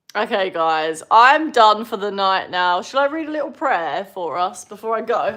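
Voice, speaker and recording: Speaking at a moderate pace with hardly any pauses, a woman with an English accent has a bright, sharp tone at medium pitch, very wide pitch swings and big swings in loudness. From southern England. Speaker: spiritual teacher. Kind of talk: live stream Q&A.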